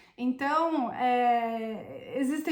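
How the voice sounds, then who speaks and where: Audible room echo fills the space around this woman. Her pitch varies in an ordinary way. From Brazil. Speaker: Italian citizenship consultant. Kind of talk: vlog monologue. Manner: hesitant, with fillers.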